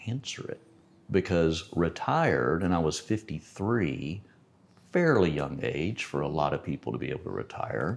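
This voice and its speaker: Vocal fry runs through this man's speech. He talks with an American accent and very wide pitch swings. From Texas, Lubbock. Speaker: pilot and retired entrepreneur. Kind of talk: casual chat.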